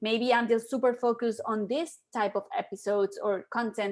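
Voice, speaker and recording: A woman with a Spanish accent speaks at a fairly high pitch in a very clean recording with a silent background. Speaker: podcaster and photographer. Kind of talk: live video chat.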